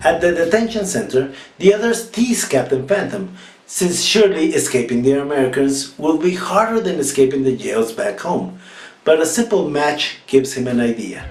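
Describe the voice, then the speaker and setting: A man in a Mexican accent, fairly high in pitch, with very wide pitch swings at a moderate pace, over noticeable background noise. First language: Spanish. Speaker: film critic. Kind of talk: comedic film review narration.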